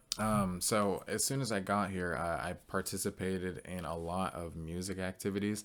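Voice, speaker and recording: In an American accent, a man with a very deep, low pitch talks at a moderate pace with hardly any pauses and fairly even intonation, on a very clean recording with a silent background. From Northern California, Bay Area. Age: 20s. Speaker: college student. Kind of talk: class presentation. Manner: casual with many fillers.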